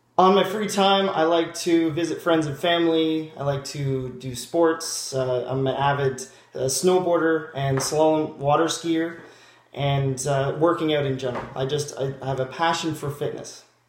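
A Canadian accent at a fairly slow pace, with audible room echo and light background noise. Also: man, fairly even intonation. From Ontario, Canada (small town). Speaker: job applicant. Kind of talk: video job application monologue; self-introduction video. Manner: halting, with fillers and restarts. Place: home room. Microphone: webcam.

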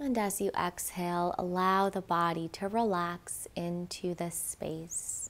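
Soft-spoken and soothing, a woman talks at a very slow pace with a gentle tone. Her pitch is fairly low and her intonation fairly even. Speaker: meditation guide. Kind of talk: guided meditation with sound bath. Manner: slow, soothing, gentle and calm; soft-spoken, with long pauses between instructions. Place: studio. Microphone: lapel.

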